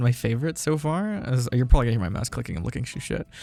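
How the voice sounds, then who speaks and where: A man talks at a medium pitch. Music plays behind him. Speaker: ASMR roleplay voice actor. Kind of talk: casual talk to listeners, Q&A. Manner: nervous, hesitant.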